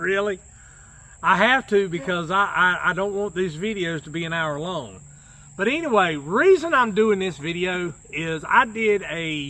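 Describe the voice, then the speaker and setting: A man's raised, projected voice at a high pitch, with a North Carolina accent, a fairly slow pace and ordinary pitch variation, amid noticeable background noise. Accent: Southern US (North Carolina). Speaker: YouTuber. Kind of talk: casual chat.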